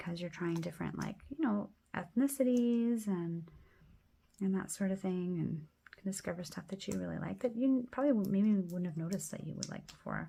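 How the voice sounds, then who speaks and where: Her tone dark and mellow, a woman speaks somewhat breathily at a fairly quick pace with ordinary pitch variation. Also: medium pitch for a woman. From Quebec, Canada. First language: French. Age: 30s. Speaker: planner YouTuber. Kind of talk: casual plan-with-me chat.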